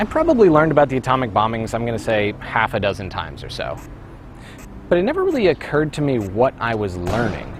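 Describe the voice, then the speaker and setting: Background noise is noticeable as a man talks at a very fast pace. He has a North American accent and a medium pitch. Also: lively intonation. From North America (US and Canada). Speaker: video essayist. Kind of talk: scripted narration.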